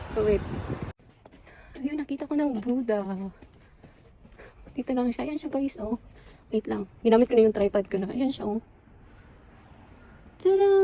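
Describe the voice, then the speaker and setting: A woman speaks with a high pitch at a moderate pace, pausing long and often, over noticeable background noise. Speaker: travel vlogger. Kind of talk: casual vlog. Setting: outdoors and temple, alone. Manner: soft-spoken.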